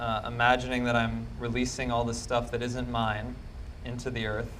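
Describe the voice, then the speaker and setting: A man's voice with audible room echo. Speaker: psychic empath. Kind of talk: live demonstration talk. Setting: stage with audience. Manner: loud.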